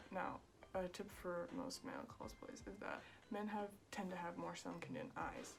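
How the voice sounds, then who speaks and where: A soft-spoken woman at a fairly slow pace, with music in the background. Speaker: cosplayer. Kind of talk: makeup tutorial talk to camera.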